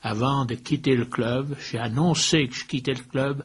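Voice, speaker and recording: Very slowly and with fairly even intonation, a man speaks at medium pitch. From Switzerland, Valais (Saint-Maurice). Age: 80s+. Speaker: former football club president. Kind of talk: interview.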